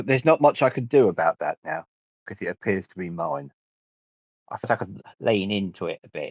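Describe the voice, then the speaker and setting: A fairly quick delivery in a British accent, with very wide pitch swings, big jumps in loudness, long and frequent pauses, and a dry, close sound free of echo. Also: man, fairly low pitch for a man. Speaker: player on a tabletop role-play podcast. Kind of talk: casual banter. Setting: podcast recording.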